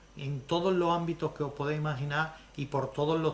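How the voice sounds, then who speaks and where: In an Andalusian accent, a man with a fairly high pitch talks in a flat monotone, with room echo audible. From Andalusia, Spain. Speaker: lecturer on social economy. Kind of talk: lecture.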